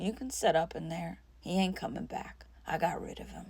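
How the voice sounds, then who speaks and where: A raspy put-on character voice from a woman at a moderate pace. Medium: read story.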